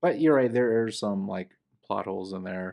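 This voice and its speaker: A man speaks fairly quickly, with a quiet background behind him. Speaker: co-host, movie reviewer. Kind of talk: casual chat, movie review podcast. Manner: casual, joking.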